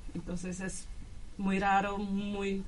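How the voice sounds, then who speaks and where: With audible room echo, a woman speaks at a medium pitch in a flat, monotone way. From Brazil, São Paulo. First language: Portuguese (speaking Spanish). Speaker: exchange student. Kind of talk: radio interview.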